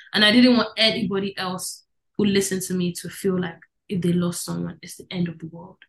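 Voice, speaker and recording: At a fairly quick pace, a woman talks in a somewhat breathy voice with a fairly low pitch. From Netherlands, later Nigeria. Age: young. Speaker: singer-songwriter. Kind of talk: interview.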